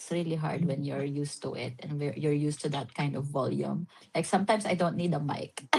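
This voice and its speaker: Over noticeable background noise, a woman with a very deep, low pitch talks at a fairly quick pace with hardly any pauses. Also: ordinary pitch variation. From Philippines, Visayas. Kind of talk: casual chat. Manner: halting.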